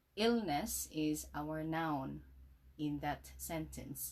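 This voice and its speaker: Speaking at a very slow pace, a woman uses lively intonation in a very deep, low pitch. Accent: Visayan Filipino. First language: Cebuano (Bisaya). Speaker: English teacher. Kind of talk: tutorial.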